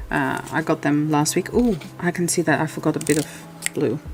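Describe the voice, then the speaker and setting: A soft-spoken woman, very deep and low in pitch, her intonation fairly even, over background music. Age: 40s. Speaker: coloring YouTuber. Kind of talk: casual livestream chat while coloring. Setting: livestream. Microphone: too quiet, gain raised.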